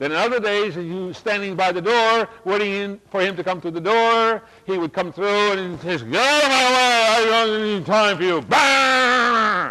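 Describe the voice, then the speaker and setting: A man speaks in a raised, projected voice. His pace is moderate and his pitch varies in an ordinary way. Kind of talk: lecture. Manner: repetitive, with frequent word repetitions.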